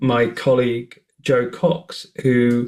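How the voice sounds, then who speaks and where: This man speaks at a medium pitch. He has a British accent. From northern England. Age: 40s. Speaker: nonprofit CEO, online hate campaigner. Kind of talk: podcast interview.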